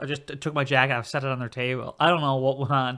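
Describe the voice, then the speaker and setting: A man with a bright, sharp tone and medium pitch speaks very fast on a very clean recording with a silent background. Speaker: podcast host, aspiring stand-up comedian. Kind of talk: casual chat. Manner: fast when excited; halting, many restarts.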